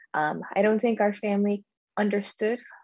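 A woman speaks at a medium pitch. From Nashville, Tennessee. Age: 20s. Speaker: community advocate. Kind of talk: interview.

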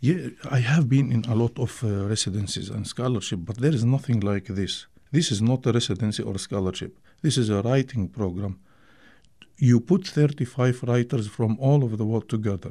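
A man's dark, mellow, somewhat breathy voice at medium pitch, with ordinary pitch variation and a moderate pace. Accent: Arabic. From Syria (Damascus), Palestinian family. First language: Arabic. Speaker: poet and filmmaker. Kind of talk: radio interview. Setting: radio studio. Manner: halting.

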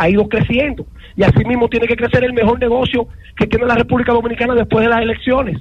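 Very fast and monotone, the speech keeps a flat intonation and very even loudness over noticeable background noise. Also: man, extremely high pitch for a man. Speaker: sports commentator. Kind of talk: sports talk radio.

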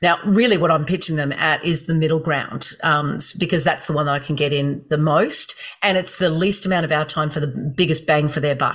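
A woman with an Australian accent talks at a fairly quick pace in a very deep, low voice. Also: fairly even intonation. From Gold Coast, Queensland, Australia. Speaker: speech and performance coach. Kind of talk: interview.

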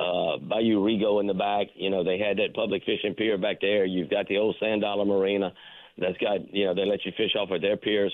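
At a fairly quick pace, a man delivers monotone, flat intonation in a fairly low voice with very even loudness. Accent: Southern US. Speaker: fishing reporter. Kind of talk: casual chat.

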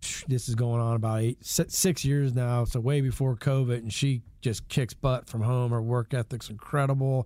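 Speaking with an American accent, a man has a dark, mellow tone at medium pitch, talking at a moderate pace with hardly any pauses and fairly even intonation. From Georgia, US (East Cobb, Atlanta area). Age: 40s. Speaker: home improvement business owner. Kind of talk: casual radio interview.

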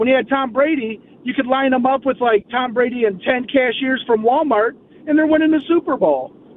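With noticeable background noise behind him, a man speaks fairly quickly at an extremely high pitch, his pitch moving in an ordinary way. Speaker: caller. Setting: phone call.

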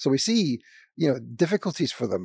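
A man with a Scottish accent speaks with vocal fry. His intonation is lively and his pace fairly quick. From Scotland. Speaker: former sociology professor. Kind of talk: panel discussion. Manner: halting.

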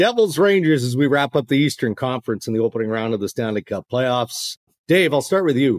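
An ordinary speaking voice from a man with a Canadian accent, medium pitch, lively intonation and a fairly quick pace, in a dry, close sound with no echo. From Canada. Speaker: podcast host. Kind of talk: casual chat.

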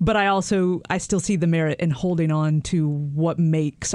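A woman speaks in a normal speaking voice with an American accent, her pitch fairly low and its variation ordinary. She talks at a moderate pace over a quiet background. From North Carolina. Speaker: radio news producer, co-host. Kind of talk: podcast narration and conversation.

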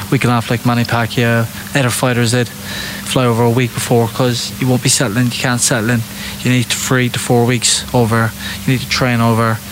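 A man talks at a fairly quick pace in a monotone, flat intonation. Noticeable background noise sits behind him. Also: medium pitch for a man. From England, Irish traveller community. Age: 20s. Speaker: professional boxer. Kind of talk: interview.

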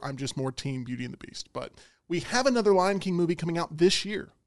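A man talks at a very fast pace. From Alabama, Birmingham. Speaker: sports radio host. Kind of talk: casual chat. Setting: studio.

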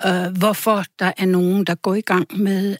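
A woman speaks very slowly at a medium pitch, with a dry, close sound and no echo. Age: 70s. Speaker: journalist and author. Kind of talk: radio interview. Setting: studio.

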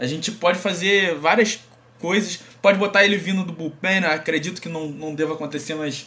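Big swings in loudness, a fairly quick pace and fairly even intonation over noticeable background noise. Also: man, high pitch for a man. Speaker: podcast co-host. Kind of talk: casual chat.

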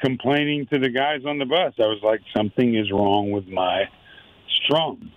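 This man has a plain, everyday voice. His pitch sits in the medium range, with ordinary variation. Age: 50s. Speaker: musician, founding band member. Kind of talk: casual interview chat.

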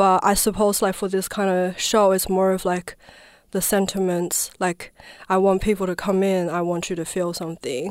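On a very clean recording with a silent background, a woman with a Chinese accent speaks at a medium pitch and moderate pace. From southwest China. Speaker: dancer and performance artist. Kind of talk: radio interview. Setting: radio studio.

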